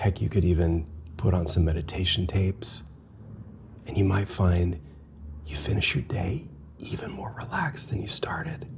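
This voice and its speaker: Soft-spoken whispering, broken by long, frequent pauses, comes over noticeable background noise. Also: moderate pace. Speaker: software tutorial instructor. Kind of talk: tutorial aside. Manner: soft ASMR-style whisper.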